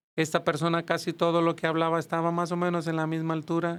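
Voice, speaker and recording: On a very clean recording with a silent background, a man talks at a fairly quick pace with a high pitch. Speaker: church music teacher and choir director. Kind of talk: podcast interview.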